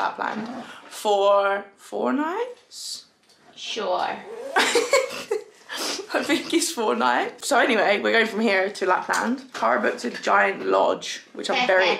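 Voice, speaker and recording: A woman at a fairly slow pace, with light background noise. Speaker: travel vlogger. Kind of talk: casual vlog chat. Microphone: phone near.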